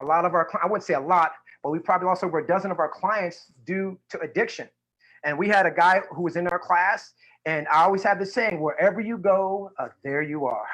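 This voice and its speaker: High pitch for a man, fairly quick pace and ordinary pitch variation. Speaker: community organization director and prison educator. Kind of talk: conference talk. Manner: fast.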